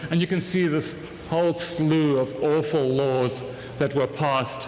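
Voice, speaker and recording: Spoken at a fairly slow pace in a South African accent, the voice keeps a fairly even intonation, with audible room echo and noticeable background noise. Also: man. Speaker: conference speaker, academic. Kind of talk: lecture. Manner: casual, with fillers.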